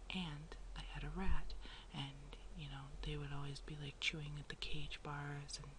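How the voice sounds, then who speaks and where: At a moderate tempo, the voice comes across as soft-spoken. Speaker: artist. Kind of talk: ASMR soft talking. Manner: casual, rambling.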